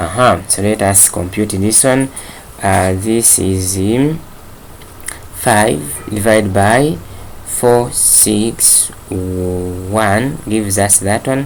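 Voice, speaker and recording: Very slow speech over noticeable background noise. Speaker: chemistry teacher. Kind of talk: lecture. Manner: hesitant, many fillers.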